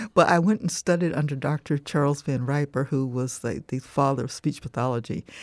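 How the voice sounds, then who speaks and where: A woman with an American accent and a very deep, low pitch at a fairly quick pace with hardly any pauses, in a dry, close sound with no echo and a very clean recording with a silent background. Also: ordinary pitch variation. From US South, southwest Florida (Punta Gorda). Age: 70s. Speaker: author and lecturer. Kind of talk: interview. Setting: studio.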